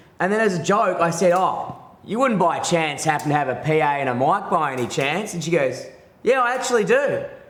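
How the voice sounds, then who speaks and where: With audible room echo, a man talks loudly at a fairly quick pace in a high pitch, his tone animated and his intonation lively. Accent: Australian. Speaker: stand-up comedian. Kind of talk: casual chat.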